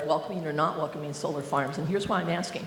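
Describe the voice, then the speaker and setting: A woman with a US Midwestern accent at a very fast pace, with audible room echo and noticeable background noise. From Iowa. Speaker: workshop moderator. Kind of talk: audience Q&A question.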